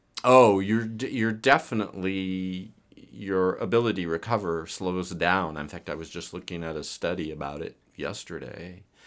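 In a very clean recording with a silent background, a man speaks at a moderate pace with hardly any pauses. His very deep, low voice has ordinary pitch variation and big swings in loudness. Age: 60s. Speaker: physician and fitness coach. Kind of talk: casual interview.

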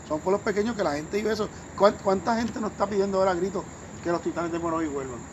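A man with a high pitch talks at a very fast pace with ordinary pitch variation over noticeable background noise. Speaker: sports commentator. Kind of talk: casual chat. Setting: at the host's home.

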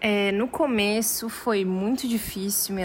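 With ordinary pitch variation, a woman speaks at medium pitch in an unremarkable speaking voice. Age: 20s. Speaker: university student. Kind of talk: interview testimony.

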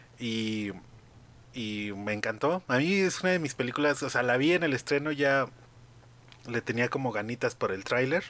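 Speaking with a Mexican accent at a moderate pace, a man with a medium pitch uses lively intonation and long, frequent pauses. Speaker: podcast host. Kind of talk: casual chat.

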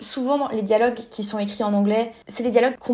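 A woman's fairly high voice has a dark, mellow tone and a flat, monotone intonation. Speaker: fanfiction writer. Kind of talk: casual interview.

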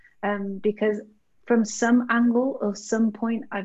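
A woman speaks at a fairly slow pace with a slight Birmingham accent. Her voice is somewhat breathy, and her intonation is monotone and flat. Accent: British, Birmingham-tinged. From Birmingham, England. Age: 20s. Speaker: co-founder of an organisation. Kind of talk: casual interview chat.

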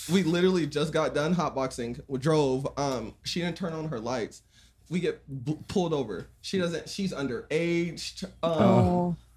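Against noticeable background noise, a man with an American accent speaks at a fairly slow pace and fairly high pitch, with ordinary pitch variation. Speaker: content creator guest. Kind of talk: casual conversation.

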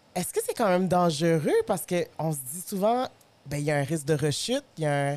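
This woman, with a Quebec accent, has a fairly low pitch, lively intonation and a fairly quick pace. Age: 30s. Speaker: podcast host. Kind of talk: casual chat.

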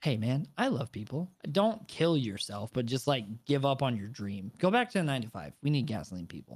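A man speaks at a medium pitch with very wide pitch swings. His pace is moderate, on a very clean recording with a silent background. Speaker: podcast co-host, streamer. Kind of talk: casual banter, storytelling. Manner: animated, loud.

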